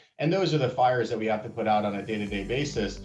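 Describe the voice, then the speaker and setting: Speaking with an American accent, a man keeps a medium pitch and a fairly quick pace. Audible room echo surrounds his voice. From US Northeast, Maine. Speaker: business owner. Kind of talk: testimonial interview.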